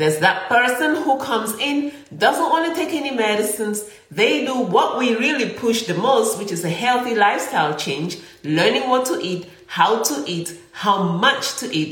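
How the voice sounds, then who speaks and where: Animated and fairly high-pitched, a woman talks at a moderate pace with very wide pitch swings. Noticeable background noise and audible room echo are present. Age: 50s. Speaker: physician and podcast host. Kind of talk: health talk monologue.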